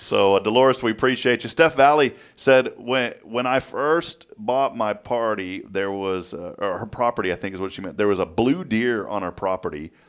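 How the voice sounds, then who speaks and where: A man's plain, everyday voice in an American accent, medium in pitch, with lively intonation and hardly any pauses. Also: moderate pace. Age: 40s. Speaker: morning show host. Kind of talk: casual chat.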